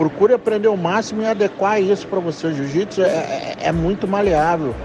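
Lively intonation carries this moderately paced speech over noticeable background noise. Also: man. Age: 40s. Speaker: jiu-jitsu instructor. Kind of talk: interview answers recorded as voice messages. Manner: casual, with frequent fillers and repetitions.

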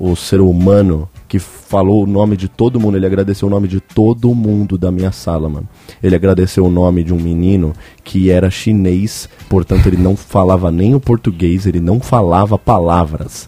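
Over noticeable background noise, a man speaks in a very deep, low voice with fairly even intonation. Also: moderate pace. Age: 20s. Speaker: podcast host. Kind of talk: casual chat.

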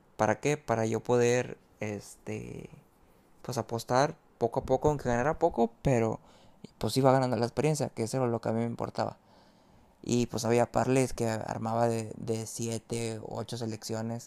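Speaking with monotone, flat intonation at a moderate pace, a man with a medium pitch and a dark, mellow tone comes through with a dry, close sound and no echo. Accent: Mexican. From Mexico. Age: 20s. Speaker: sports betting tipster. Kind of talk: casual monologue. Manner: talkative, many repetitions.

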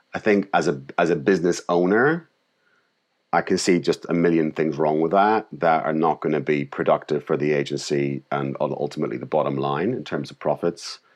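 Someone with a Northern Irish accent talks at a moderate pace against a quiet background. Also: man. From Northern Ireland. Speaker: creative director and agency founder. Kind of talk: interview conversation. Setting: call.

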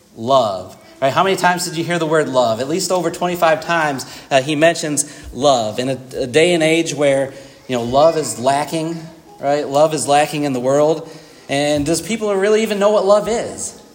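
A fairly high-pitched man at a moderate pace, with ordinary pitch variation, audible room echo and noticeable background noise. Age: 40s. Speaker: preacher. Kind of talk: sermon. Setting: church.

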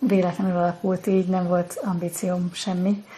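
A normal speaking voice at a moderate pace. The intonation stays fairly even. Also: woman. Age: 40s. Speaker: self-knowledge teacher. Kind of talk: live Q&A. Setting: TikTok livestream.

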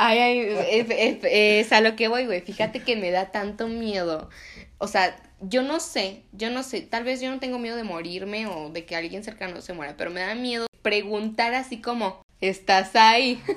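At a fairly slow pace, a woman with an ordinary speaking voice speaks at a fairly high pitch with ordinary pitch variation. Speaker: podcast host. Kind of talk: casual chat.

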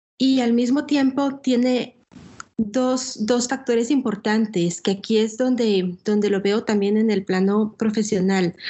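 Her loudness stays very even and her voice is somewhat breathy. This woman's pitch is fairly high, with ordinary variation. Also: fairly slow pace. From Guatemala. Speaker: businesswoman and communications professional. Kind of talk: podcast interview.

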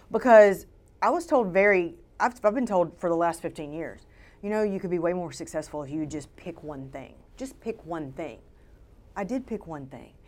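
With a Southern US accent, a woman talks at a moderate pace. Her tone is animated and her intonation lively. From Louisiana, Shreveport. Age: 40s. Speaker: photographer. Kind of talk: interview.

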